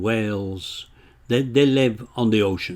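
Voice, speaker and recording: A man at a medium pitch talks very slowly, his pitch varying in an ordinary way. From northern England, Bolton, Lancashire. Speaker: retired accountant, author. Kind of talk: casual chat. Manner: halting, repeats words.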